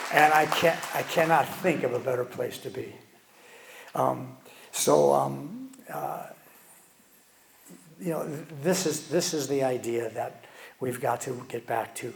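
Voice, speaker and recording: A man talks at a fairly slow pace with long, frequent pauses. The recording carries noticeable background noise and audible room echo. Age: 70s. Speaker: guest speaker, educator. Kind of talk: conference talk. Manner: halting, many repeated words.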